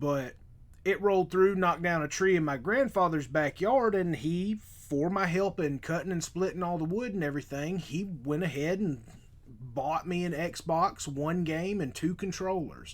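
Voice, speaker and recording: The voice drawls in a slight Southern US accent, with ordinary pitch variation. The recording is very clean, with a silent background. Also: man, high pitch for a man. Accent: slight Southern drawl. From US South. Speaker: podcast host. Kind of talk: casual chat. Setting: live stream. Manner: toned-down drawl, deliberately clearer.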